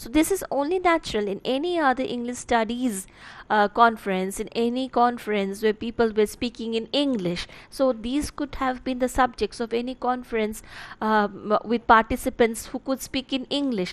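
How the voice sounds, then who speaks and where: Her pitch is high and its variation ordinary. The woman talks at a moderate pace with a Bengali accent. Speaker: college literature teacher. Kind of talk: lecture. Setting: online class recording. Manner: halting, many fillers.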